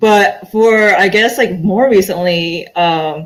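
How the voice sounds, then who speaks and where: A woman uses an ordinary speaking voice at a medium pitch, with ordinary pitch variation. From born in Korea, grew up in US. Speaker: young adult author. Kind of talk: panel discussion.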